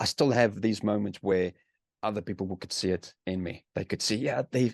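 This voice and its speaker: A man in a South African accent talks at a fairly quick pace, the sound dry and close with no echo. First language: Afrikaans. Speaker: author and army veteran. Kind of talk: interview. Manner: halting, many repeated words.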